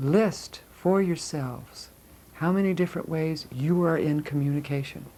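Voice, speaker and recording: A woman with a very deep, low pitch and ordinary pitch variation. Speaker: spiritual energy-healing teacher. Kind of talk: guided class on chakras. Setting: live class with group. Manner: slow, deliberate; soft-spoken.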